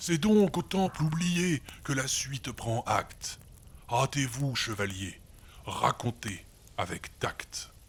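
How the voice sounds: The pace is slow. Pitch varies in an ordinary way. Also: man, medium pitch for a man.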